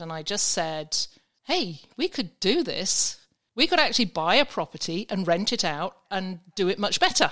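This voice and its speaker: A woman with an English accent, bright and sharp in tone, medium in pitch, at a fairly quick pace on a very clean recording with a silent background. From England. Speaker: vacation rental expert. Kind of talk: casual interview chat.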